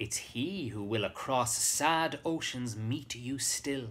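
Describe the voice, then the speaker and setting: Delivered at a very slow pace with lively intonation, the voice carries an Irish accent. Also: man. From Ireland. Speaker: actor. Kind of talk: poetry reading with a short personal introduction. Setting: live webcast, home during lockdown. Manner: warm, sincere, gentle. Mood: warm, reflective. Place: home room. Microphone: webcam.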